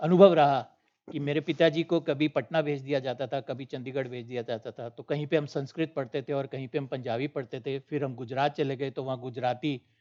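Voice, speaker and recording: Speaking at a moderate pace with hardly any pauses, a man with a fairly high pitch has a dark, mellow tone in a dry, close recording with no echo. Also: fairly even intonation. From northern India, Punjabi-speaking. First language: Punjabi (speaking Hindi). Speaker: panel speaker. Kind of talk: panel discussion. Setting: auditorium, online broadcast.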